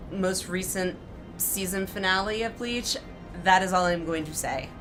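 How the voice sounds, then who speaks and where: With music in the background and audible room echo, a woman speaks at medium pitch with fairly even intonation. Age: 30s. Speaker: gaming streamer. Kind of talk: casual live-stream commentary.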